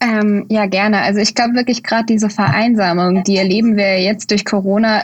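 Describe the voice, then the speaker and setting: A woman with a medium pitch and a somewhat breathy voice speaks at a fairly quick pace with fairly even intonation. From Bad Kreuznach, Germany. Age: 20s. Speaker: student and deputy candidate. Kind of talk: interview.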